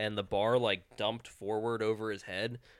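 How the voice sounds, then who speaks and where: A man with an unremarkable speaking voice, a fairly low pitch and a moderate pace. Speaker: massage therapist and powerlifter. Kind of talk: casual chat. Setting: basement studio with microphone.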